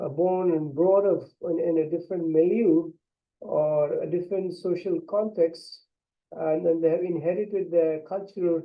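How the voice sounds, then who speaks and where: A man speaks in a high pitch. His pace is fairly slow. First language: an Indian language. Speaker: English language instructor. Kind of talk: lecture. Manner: halting, many fillers.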